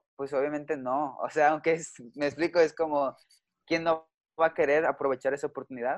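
A man with a fairly high pitch speaks in a monotone, flat intonation, the sound dry and close with no echo over a quiet background. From Mexico. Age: 20s. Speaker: youth pastor. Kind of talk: casual chat.

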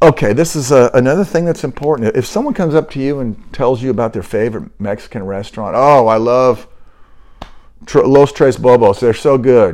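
A normal speaking voice from a man, medium-pitched and fairly quick, with lively intonation. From US, military upbringing (moved around). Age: 60s. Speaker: podcast host. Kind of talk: casual monologue.

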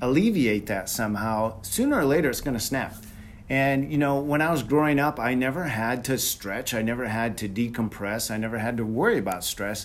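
A man's medium-pitched voice at a moderate pace, with ordinary pitch variation and audible room echo. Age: 50s. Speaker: high school wrestling referee, wellness show guest. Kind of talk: casual chat.

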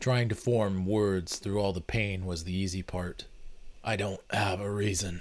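In a natural voice, the words are read aloud.

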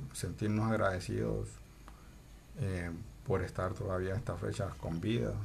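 Audible room echo surrounds a man whose fairly low pitch shows ordinary variation. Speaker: podcast co-host. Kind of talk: casual chat. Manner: slow, measured speech.

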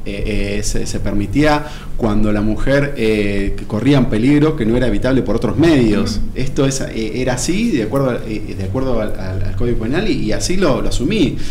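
Amid noticeable background noise and audible room echo, a man of medium pitch speaks with hardly any pauses and ordinary pitch variation. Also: moderate pace. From Buenos Aires, Argentina. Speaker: doctor. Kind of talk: radio interview. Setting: studio. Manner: halting, many repetitions.

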